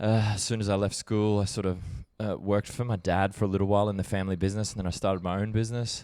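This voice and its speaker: Talking at a very fast pace, a man with an Australian accent keeps a fairly low pitch and monotone, flat intonation. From Australia, Brisbane, Queensland. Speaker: documentary filmmaker. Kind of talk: podcast interview. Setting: on a couch. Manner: relaxed, hesitant with fillers.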